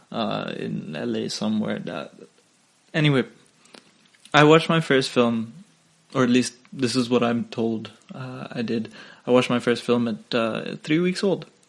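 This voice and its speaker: A man with a non-native accent speaks at a moderate pace and a medium pitch. His intonation is lively, and he leaves long, frequent pauses. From Singapore. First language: not English. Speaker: podcast host. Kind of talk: casual solo podcast monologue. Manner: hesitant, many fillers.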